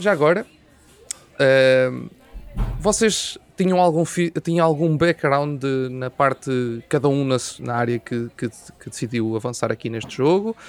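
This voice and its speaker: With long, frequent pauses, a man of medium pitch speaks at a fairly slow pace with lively intonation. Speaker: podcast host. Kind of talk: interview.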